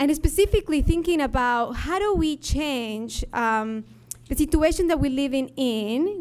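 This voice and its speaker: A woman with an Ecuadorian accent, high-pitched and at a fairly slow pace. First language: Spanish. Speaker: labor organizer, nonprofit leader. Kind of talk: conference talk.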